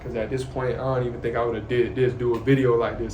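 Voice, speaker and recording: Amid audible room echo and noticeable background noise, a man at medium pitch speaks at a very fast pace. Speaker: YouTuber sharing faith and life. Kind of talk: casual monologue to camera. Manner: soft-spoken.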